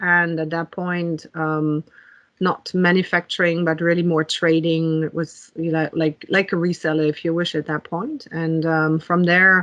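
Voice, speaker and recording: A woman with a German accent speaks at a fairly slow pace and fairly low pitch in a monotone, flat way, with a dry, close sound and no echo. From Germany. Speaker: technology executive. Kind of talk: interview. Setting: podcast. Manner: many fillers and hesitations.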